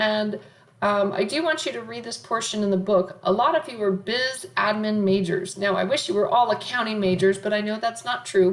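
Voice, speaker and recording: Fairly high-pitched speech from a woman, with noticeable background noise behind it. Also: ordinary pitch variation, moderate pace. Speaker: college accounting professor. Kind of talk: lecture.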